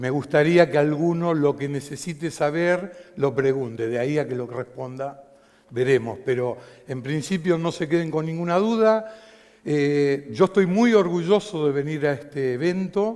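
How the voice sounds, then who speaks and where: The man's pitch sits fairly high. He speaks at a fairly slow pace. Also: ordinary pitch variation. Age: 60s. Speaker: stage lighting designer. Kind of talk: conference talk.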